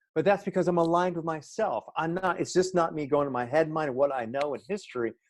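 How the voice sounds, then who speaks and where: The clip has a quiet background and a man with an unremarkable speaking voice. He talks at a fairly quick pace and a fairly high pitch. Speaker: transformational life coach. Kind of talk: interview.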